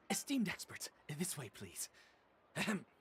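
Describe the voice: In a cartoonish character voice, a man speaks at a fairly slow pace with a high pitch, very wide pitch swings, a fairly bright tone and a husky, rough edge.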